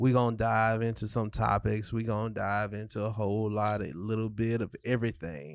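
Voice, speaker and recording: A man with a normal speaking voice talks at a fairly low pitch and a moderate pace, with fairly even intonation. He leaves hardly any pauses, on a very clean recording with a silent background. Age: 30s. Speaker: podcast host. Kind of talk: casual chat. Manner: laid-back, conversational.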